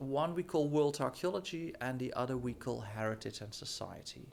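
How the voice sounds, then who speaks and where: With a Dutch accent, a man speaks at a moderate pace in a medium pitch with ordinary pitch variation. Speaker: professor. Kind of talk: presentation. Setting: studio.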